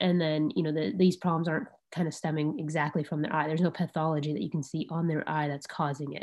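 Speech races at a very fast pace with ordinary pitch variation over a quiet background. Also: woman, very deep, low pitch for a woman. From Arizona. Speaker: ophthalmologist; presenter. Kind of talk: lecture. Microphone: video call.

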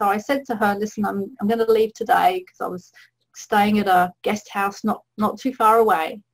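At a moderate pace, a woman speaks at a medium pitch in a plain, everyday voice with fairly even intonation. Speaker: holistic health coach. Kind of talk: webinar presentation.

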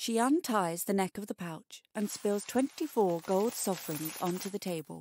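A woman with an unremarkable speaking voice and medium pitch talks at a fairly slow pace with lively intonation and hardly any pauses. The recording is very clean with a silent background, and the sound is dry and close with no echo. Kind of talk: bedtime story narration, reading aloud. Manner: slow, hushed, atmospheric storytelling.

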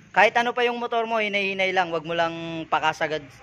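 This man's raised, projected voice has a bright, sharp tone, ordinary pitch variation and a moderate pace. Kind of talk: casual vlog commentary. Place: garage. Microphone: phone near.

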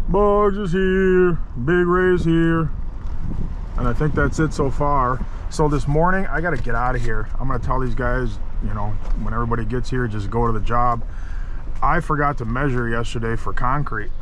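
A man at a moderate pace with long, frequent pauses, dry sound with no echo, and light background noise. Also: lively intonation. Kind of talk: casual vlog chat. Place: car. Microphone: phone near.

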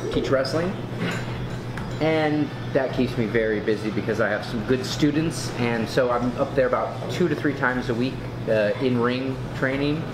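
Over music in the background, the speech moves at a moderate pace with ordinary pitch variation. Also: man. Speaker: guest. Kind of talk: interview answer. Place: cafe. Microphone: camera far.

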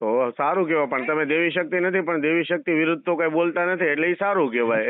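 A man's fairly high pitch with ordinary pitch variation, a plain, everyday voice. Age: 30s. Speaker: social media creator. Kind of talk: heated debate.

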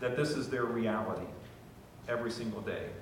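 Strong room echo surrounds a fairly quick voice with an American accent and ordinary pitch variation. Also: man, fairly low pitch for a man.

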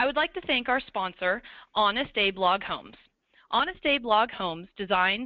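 Her intonation is lively, and she talks at a moderate pace. This woman has a medium pitch and an ordinary speaking voice. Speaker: webinar moderator. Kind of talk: event hosting. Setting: online webinar.

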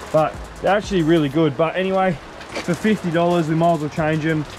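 Music plays underneath speech delivered at a fairly quick clip. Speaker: channel host filming. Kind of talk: casual vlog chat. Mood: relaxed, joking. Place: garage. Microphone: phone near.

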